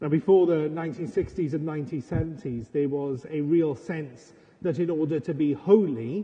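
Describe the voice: A dark, mellow tone with a husky, rough edge and ordinary pitch variation. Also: man, fairly high pitch for a man, moderate pace.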